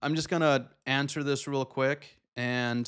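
Over a quiet background, a man talks with fairly even intonation. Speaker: photographer youtuber. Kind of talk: casual vlog chat. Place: home room. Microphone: studio mic.

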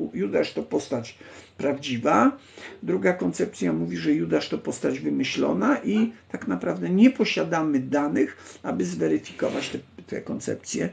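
A man with a Polish accent speaks at a moderate pace. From Poland. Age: 60s. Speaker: livestream host. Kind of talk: casual live stream chat, reading text aloud; casual live-stream talk answering chat. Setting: online live stream. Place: home room. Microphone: phone near.

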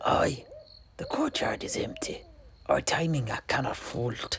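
A man whispers in a put-on character voice with vocal fry. His pace is fairly slow.

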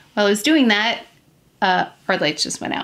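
A woman talks fairly quickly, with noticeable noise in the background. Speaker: beauty vlogger. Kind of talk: makeup tutorial chat. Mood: lightly amused, hurried. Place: home room.

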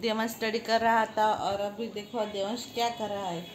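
There is audible room echo as a woman speaks at a moderate pace. Her medium-pitched voice shows little pitch movement.

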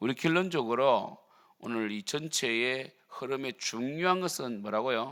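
The recording is very clean against a silent background. It is a plain, everyday voice with ordinary pitch variation. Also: man, medium pitch for a man. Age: 50s. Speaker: pastor. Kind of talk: sermon. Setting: church.

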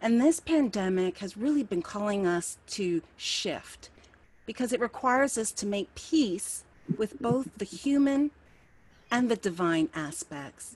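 A somewhat breathy woman's voice with an American accent, fairly high pitch and very wide pitch swings, at a fairly slow pace, in a dry sound with no echo. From US East Coast. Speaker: minister giving a spiritual talk. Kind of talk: sermon-style talk. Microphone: webcam.

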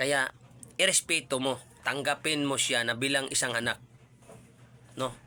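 A man's medium-pitched voice, bright and sharp in tone, at a fairly slow pace with long, frequent pauses, very even loudness and fairly even intonation. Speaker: YouTube reaction vlogger. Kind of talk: casual vlog commentary.

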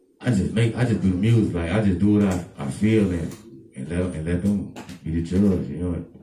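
A man with a very deep, low pitch talks at a fairly quick pace with ordinary pitch variation, amid audible room echo and light background noise. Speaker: interviewee. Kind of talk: interview answer. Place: home room.

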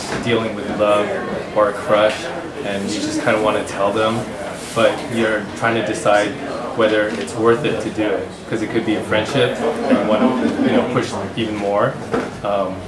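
Loud background noise surrounds a man speaking at a moderate pace. He leaves long, frequent pauses. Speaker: creator explaining a project. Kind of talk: casual interview answer. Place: home room.

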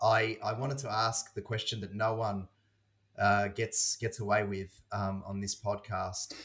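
On a very clean recording with a silent background, a man at a fairly low pitch talks at a fairly slow pace in a flat monotone. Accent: Australian. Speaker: podcast host. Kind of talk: casual chat.

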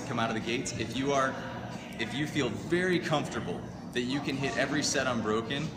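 Music plays clearly behind a man who speaks at a fairly quick pace. His pitch variation is ordinary. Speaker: rowing coach. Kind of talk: tutorial. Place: gym. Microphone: camera far.

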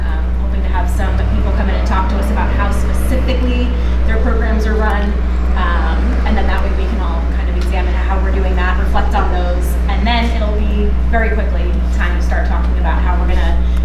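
A woman at a fairly quick pace, with loud background noise and audible room echo. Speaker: council presenter. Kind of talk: presentation to a meeting. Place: classroom. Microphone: camera far.

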